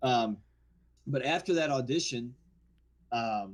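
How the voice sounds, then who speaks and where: A man with a New Orleans accent, medium pitch, lively intonation and a fairly slow pace, in a very clean recording with a silent background. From New Orleans area, Louisiana. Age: 40s. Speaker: actor. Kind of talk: casual chat.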